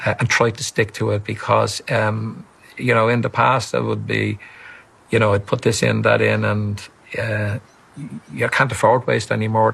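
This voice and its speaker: A man speaks in a Dublin accent. There is noticeable background noise. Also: moderate pace. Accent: Irish (Dublin). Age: 70s. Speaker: retired pensioner. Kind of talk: TV interview. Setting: TV studio. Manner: halting, repeats words.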